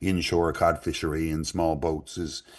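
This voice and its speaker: Flat, monotone intonation comes through in a Newfoundland accent against a quiet background. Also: man. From Newfoundland, Canada. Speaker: author and musician. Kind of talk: interview answer.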